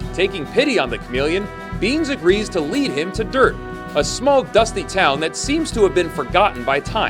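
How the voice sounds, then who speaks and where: With music in the background, a man speaks at a moderate pace in a high pitch with very wide pitch swings. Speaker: voice actor. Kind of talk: movie recap narration.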